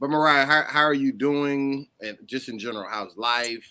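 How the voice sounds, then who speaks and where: An ordinary speaking voice goes at a fairly slow pace with ordinary pitch variation. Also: man. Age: 30s. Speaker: podcast host. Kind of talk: casual chat.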